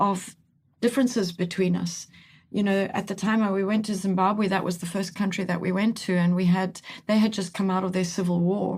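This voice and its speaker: Breathy to a degree, a woman speaks fairly quickly in a medium pitch with monotone, flat intonation, on a very clean recording with a silent background. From Italy. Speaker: team coach. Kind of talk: podcast interview. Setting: studio.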